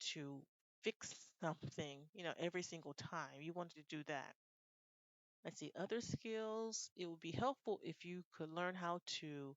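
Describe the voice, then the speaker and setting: A normal speaking voice from a woman with an American accent, fairly low in pitch with ordinary pitch variation, at a moderate pace. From United States. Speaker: IELTS speaking tutor. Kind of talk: unrehearsed model exam answer.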